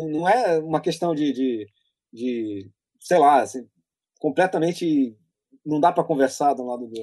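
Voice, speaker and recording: A man with lively intonation and long, frequent pauses. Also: fairly high pitch for a man, fairly slow pace. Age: 40s. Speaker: political columnist. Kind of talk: casual interview chat.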